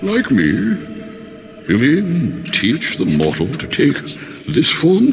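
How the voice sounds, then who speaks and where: A man puts on a character voice at a very slow pace, leaving long, frequent pauses. Background noise is clearly audible. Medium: short film. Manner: languid, weary, condescending.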